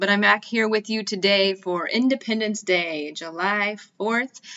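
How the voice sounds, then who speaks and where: A woman with an American accent speaks at a moderate pace and medium pitch. Her pitch variation is ordinary, and she has a normal speaking voice. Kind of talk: podcast intro talk. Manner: casual, friendly.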